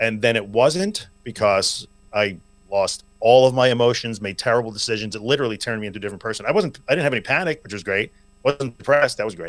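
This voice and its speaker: A man with an American accent speaks at a very fast pace and a medium pitch. His loudness swings a lot. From Long Island, New York. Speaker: anxiety recovery podcaster and coach. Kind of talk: interview conversation.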